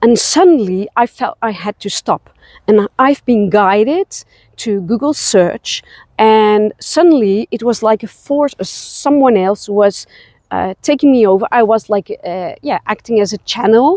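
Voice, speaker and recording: In a Dutch accent, the voice has a dark, mellow tone and lively intonation at a fairly slow pace, with a dry, close sound and no echo. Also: woman, fairly high pitch for a woman. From Netherlands. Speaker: spiritual travel guide. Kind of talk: personal vlog. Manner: halting, many fillers.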